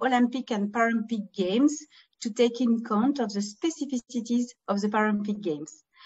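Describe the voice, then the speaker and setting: This woman talks at a fairly high pitch with ordinary pitch variation, in a French accent. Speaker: former Paralympian and event organizer. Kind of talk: webinar presentation. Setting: video call from home. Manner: halting, many fillers.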